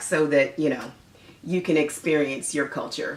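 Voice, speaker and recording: A woman with an American accent and a fairly low pitch speaks at a moderate pace against noticeable background noise. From United States. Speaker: mother and Caribbean parenting vlogger. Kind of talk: casual talk to camera. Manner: friendly, conversational.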